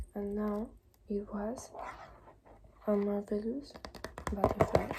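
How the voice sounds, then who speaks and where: A relaxed tone at a very slow pace, with noticeable background noise. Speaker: ASMR content creator. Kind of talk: ASMR reading of books. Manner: soft-spoken, relaxed.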